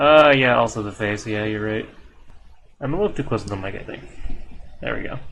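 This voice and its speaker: A medium-pitched man at a fairly quick pace, with long, frequent pauses, big swings in loudness, and audible room echo. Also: ordinary pitch variation. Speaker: streamer drawing art. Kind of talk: casual live stream chat while drawing.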